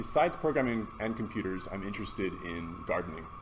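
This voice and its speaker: Audible room echo surrounds this man's voice. He speaks at medium pitch with ordinary pitch variation. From Hawaii, Manoa. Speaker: meetup organizer. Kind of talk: meetup facilitation. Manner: loud.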